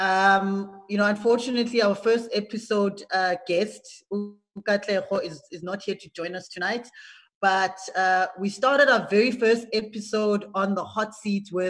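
Somewhat breathy speech at a fairly slow pace, with fairly even intonation and a quiet background. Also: woman. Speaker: show host. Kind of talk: hosting a group video call. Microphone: video call.

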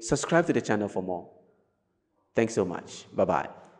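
A man is speaking. The background is quiet. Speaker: YouTube reaction host. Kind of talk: casual reaction commentary. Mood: cheerful, joking. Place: home room. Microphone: studio mic.

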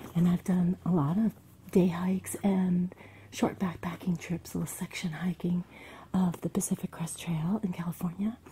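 Over light background noise, a woman speaks at a moderate pace with a fairly low pitch. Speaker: hiking vlogger. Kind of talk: casual vlog chat. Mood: warm, nostalgic. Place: home room. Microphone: phone near.

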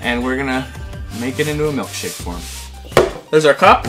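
Clear background music under a man's voice at a moderate pace. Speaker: parent hosting a video. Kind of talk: casual vlog chat. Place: studio.

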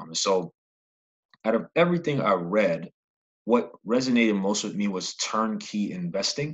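A man speaks at a fairly low pitch with lively intonation. He leaves long, frequent pauses against a quiet background. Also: moderate pace. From New York (Brooklyn). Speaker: podcast host, aspiring real estate investor. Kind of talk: solo podcast monologue. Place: home room. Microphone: studio mic.

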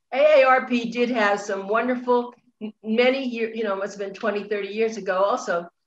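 A woman speaks at a fairly high pitch and a moderate pace with fairly even intonation, with audible room echo and light background noise. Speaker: online show host. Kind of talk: interview. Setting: video call. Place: home room. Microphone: video call.

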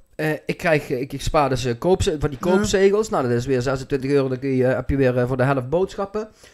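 A man speaks very fast at a fairly high pitch, with hardly any pauses. His intonation is lively, and the background is quiet. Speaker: podcast host. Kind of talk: casual podcast talk. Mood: animated, joking. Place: home room. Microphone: studio mic.

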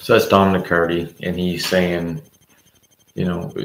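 A man speaks quietly in a very deep, low pitch. There is audible room echo and light background noise. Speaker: political commentator. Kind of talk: livestream monologue. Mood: critical political commentary. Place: home room. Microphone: webcam.

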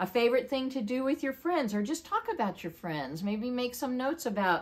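Her pitch leaps and drops across a very wide range. The woman keeps a moderate pace. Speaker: storyteller for children. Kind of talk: casual talk to children. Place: home room. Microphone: camera far.

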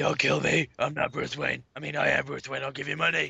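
A man's put-on character voice, raspy and fairly high, at a fairly quick pace. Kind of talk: comic overacting. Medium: game stream. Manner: mock-heroic, boastful, shouting.

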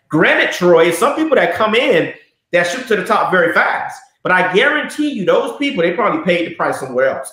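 A man with an American accent, high-pitched and very fast, his pitch swinging very widely, with audible room echo over a quiet background. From US South, Miami (Liberty City); Florida. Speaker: network marketing entrepreneur; interview guest. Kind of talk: casual interview. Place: office.

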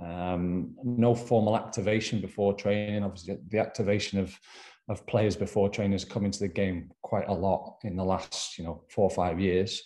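The tone is dark and mellow. Behind it, the background is quiet. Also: man. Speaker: sports performance coach presenter. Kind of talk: lecture. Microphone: webcam.

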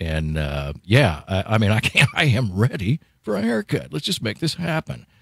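A man speaks at a fairly slow pace with a fairly low pitch, very wide pitch swings and vocal fry. The sound is dry with no echo, over a quiet background. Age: old. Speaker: radio host. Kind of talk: radio interview. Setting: radio studio. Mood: friendly, light joking. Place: studio. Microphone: studio mic.

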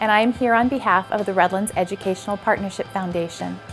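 Faint music plays in the background as a woman speaks with ordinary pitch variation. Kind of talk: prepared announcement. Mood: friendly, formal. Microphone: lapel.

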